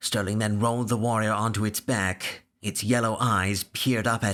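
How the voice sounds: A natural reading voice delivers the words.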